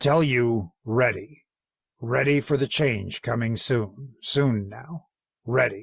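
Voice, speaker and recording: A man puts on a raspy, gravelly character voice at a medium pitch, speaking at a very slow pace. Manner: halting, urgent.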